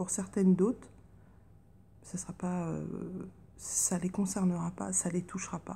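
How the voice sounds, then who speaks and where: Soft-spoken, a woman talks at a fairly slow pace. Long pauses come often. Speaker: tarot card reader. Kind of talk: casual chat.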